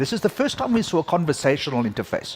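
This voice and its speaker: A man with a South African accent speaks at a fairly quick pace and a fairly high pitch. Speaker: conference keynote speaker, tech executive. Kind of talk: keynote talk. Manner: hesitant, many fillers.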